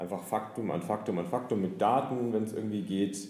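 With ordinary pitch variation and a moderate pace, a man talks in audible room echo. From Nuremberg, northern Bavaria. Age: 30s. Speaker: author and lawyer. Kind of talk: interview. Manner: frequent hesitations.

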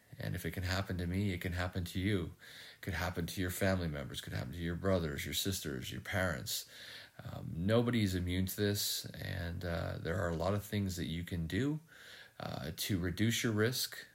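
A man's very deep, low voice with vocal fry and ordinary pitch variation, at a fairly quick pace. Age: 50s. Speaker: podcast host, heart attack survivor. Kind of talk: solo reflective monologue. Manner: many fillers and hesitations.

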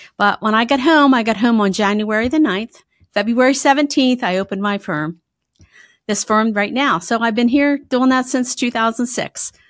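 On a very clean recording with a silent background, a woman with a slight Pennsylvania accent speaks at a moderate pace with ordinary pitch variation. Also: fairly high pitch for a woman. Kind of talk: casual interview chat.

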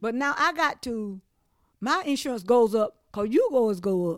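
In a very clean recording with a silent background, a woman talks with an eastern North Carolina accent. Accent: Southern US, eastern North Carolina. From eastern North Carolina, Trenton. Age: 60s. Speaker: flood survivor. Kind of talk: oral history interview. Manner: halting, frequent restarts.

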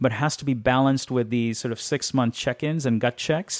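A man talks in a normal speaking voice at medium pitch. His pace is fairly quick and his intonation fairly even. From India, then high school in Los Angeles. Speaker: venture capitalist. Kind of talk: interview. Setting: aboard a museum ship.

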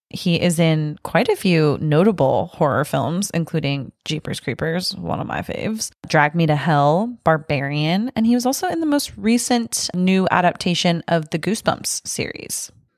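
Here is a woman with an unremarkable speaking voice, fairly low in pitch and lively in intonation. She keeps a moderate pace with hardly any pauses. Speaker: podcast host. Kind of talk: casual chat.

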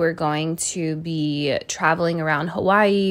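Here a woman talks in a fairly low voice with ordinary pitch variation. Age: 30s. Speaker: podcast host. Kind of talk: casual monologue. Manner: animated.

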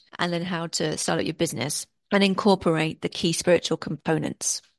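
A woman's fairly low, monotone voice with flat intonation and an English accent, at a fairly quick pace, in a dry, close sound with no echo over a quiet background. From England, Worcestershire. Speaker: film festival consultant and author. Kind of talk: interview.

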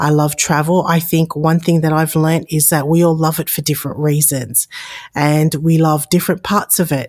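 A woman with an Australian accent talks at a moderate pace in a very deep, low pitch. Her intonation is monotone and flat, and her loudness stays very even. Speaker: podcast host and aviation consultant. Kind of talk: solo podcast introduction.

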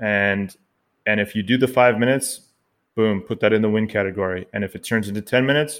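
This is a plain, everyday voice with a Canadian accent. Delivery is fairly quick, and the intonation is fairly even. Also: man. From Canada. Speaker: personal trainer and podcast co-host. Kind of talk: casual chat.

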